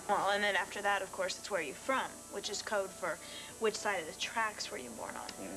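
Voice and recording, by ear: A woman's medium-pitched voice at a fairly quick pace, ordinary pitch variation and big swings in loudness, with music in the background.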